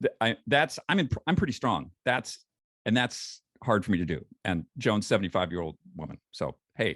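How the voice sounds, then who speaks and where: Recorded dry and close with no echo, a man of medium pitch speaks at a moderate pace with very wide pitch swings. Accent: American. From US, western New York. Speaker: founder of a lifestyle brand for over-50s. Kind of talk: casual chat. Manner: animated.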